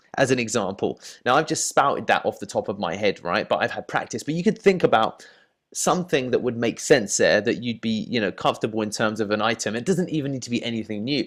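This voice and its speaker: Talking at a very fast pace with lively intonation, a man with a medium-pitched voice and an English accent is heard on a very clean recording with a silent background. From England. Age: 30s. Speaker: dating coach. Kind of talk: tutorial. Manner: casual, filler-heavy.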